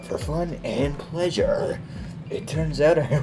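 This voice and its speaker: Putting on a character voice, a man speaks fairly slowly at a fairly high pitch amid loud background noise. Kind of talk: gravelly stealth-hero impression. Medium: solo performance. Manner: friendly, polite.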